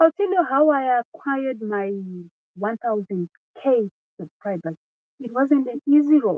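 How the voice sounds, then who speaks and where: A woman's high voice at a fairly slow pace, with very wide pitch swings and long, frequent pauses. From Zimbabwe. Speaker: singer and YouTuber. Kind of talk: casual live stream talk. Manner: repetitive, conversational.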